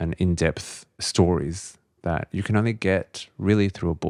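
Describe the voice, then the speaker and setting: A man speaks with an Australian accent. The recording is very clean, with a silent background and a dry, close sound with no echo. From Australia, Lebanese family. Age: 40s. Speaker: journalist and author. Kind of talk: podcast interview.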